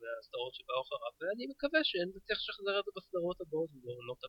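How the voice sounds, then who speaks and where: Very wide pitch swings at a very fast pace. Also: man. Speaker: podcaster and sci-fi fan. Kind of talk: casual chat. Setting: studio.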